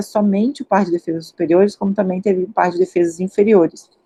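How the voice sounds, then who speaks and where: A woman with a Carioca accent, medium pitch, ordinary pitch variation and a fairly quick pace. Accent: Carioca (Rio de Janeiro) Portuguese. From Rio de Janeiro, Brazil. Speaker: paleontologist, postdoctoral researcher. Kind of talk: lecture. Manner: hesitant fillers.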